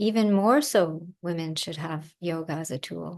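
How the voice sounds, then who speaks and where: Against a quiet background, a woman with a calm tone and fairly low pitch speaks at a fairly slow pace with ordinary pitch variation. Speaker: yoga and ayurveda teacher. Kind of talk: online lecture with Q&A.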